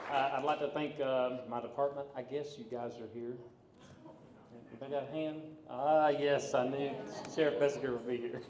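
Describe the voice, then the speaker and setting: A man with an American accent, fairly high pitch and fairly even intonation at a moderate pace, long, frequent pauses, audible room echo and noticeable background noise. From US South, mountains of North Carolina. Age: 40s. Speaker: police academy graduate. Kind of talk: graduation speech. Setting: stage with audience. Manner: halting.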